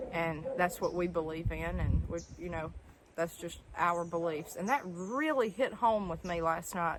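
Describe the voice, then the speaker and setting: A woman speaks at a fairly slow pace, her voice fairly low. Her pitch shows ordinary variation. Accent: Southern US. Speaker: homesteader. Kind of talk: casual talk to camera. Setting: outdoors.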